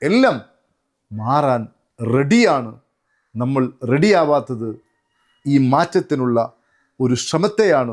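On a very clean recording with a silent background, a man uses a plain, everyday voice with lively intonation. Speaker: motivational trainer. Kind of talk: motivational talk.

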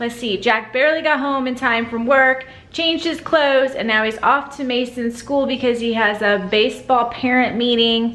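A woman with a high pitch speaks with fairly even intonation. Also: moderate pace. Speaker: family vlogger. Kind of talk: casual vlog chat. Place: kitchen. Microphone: phone near.

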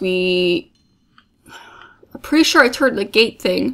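Lively intonation and vocal fry mark a woman speaking at a moderate pace. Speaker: let's play gamer. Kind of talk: gameplay commentary. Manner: casual, animated.

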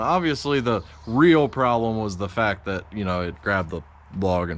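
This man has a fairly low pitch and an ordinary speaking voice. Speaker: sawmill owner vlogger. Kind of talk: tutorial. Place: workshop. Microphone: phone near.

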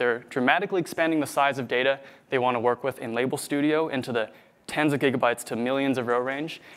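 A man talking very fast, with fairly even intonation. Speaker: conference presenter. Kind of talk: technical talk. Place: hall.

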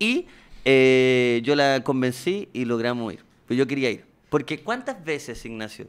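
This man talks at a fairly slow pace with ordinary pitch variation. His loudness swings widely. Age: 30s. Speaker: comedian. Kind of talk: casual chat. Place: studio. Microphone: studio mic.

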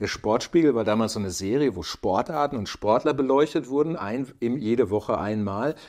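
With lively intonation and a moderate pace, a man is heard over a quiet background. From Lower Rhine, Germany; Germany. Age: 50s. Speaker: climbing photographer and filmmaker; podcast guest. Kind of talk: casual interview. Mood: relaxed, anecdotal. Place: home room. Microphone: lapel.

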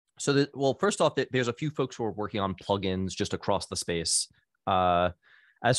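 In a plain, everyday voice, a man talks at a moderate pace with a fairly low pitch and ordinary pitch variation, in a dry sound with no echo against a quiet background. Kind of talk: meeting discussion. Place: home room. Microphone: studio mic.

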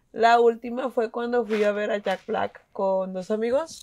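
A woman speaks very slowly. Her pitch sits fairly high and shows ordinary variation. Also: quiet background. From Mexico, Monterrey. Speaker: podcast panelist, football fan. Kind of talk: casual chat. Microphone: video call.

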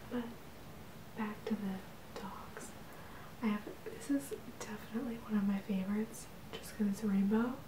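Whispering and soft-spoken, a woman talks at a fairly slow pace amid noticeable background noise. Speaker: ASMR creator. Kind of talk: ASMR show-and-tell. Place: home room.

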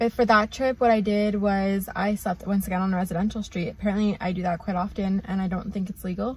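A woman talks at a very fast pace with hardly any pauses, her voice somewhat breathy. Her intonation is monotone and flat, and the sound is dry with no echo. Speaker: travel vlogger. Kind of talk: casual vlog chat. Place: car. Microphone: phone near.

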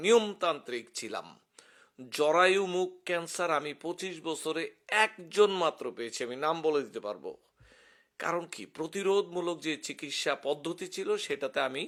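A man with a fairly high voice speaks with lively intonation. The recording is very clean, with a silent background. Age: 50s. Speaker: retired physician. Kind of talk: emotional personal monologue to camera.

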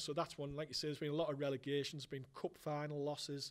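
In a Teesside accent, a man talks at a very fast pace with a fairly high pitch. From northern England. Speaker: football fan presenter; presenter. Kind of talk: casual chat. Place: hall. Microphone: handheld.

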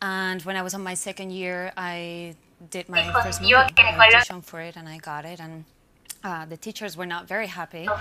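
A woman's voice with fairly even intonation over noticeable background noise. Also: medium pitch for a woman, fairly quick pace, big swings in loudness. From Cuba. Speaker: actor. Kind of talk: interview. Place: stage.

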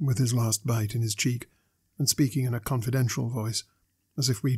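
Fairly even intonation marks this natural reading voice. Behind it, the background stays quiet.

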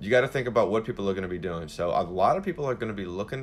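A man uses a normal speaking voice, fairly low in pitch, with lively intonation. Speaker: social media coach. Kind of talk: live Q&A answer. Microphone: phone near.

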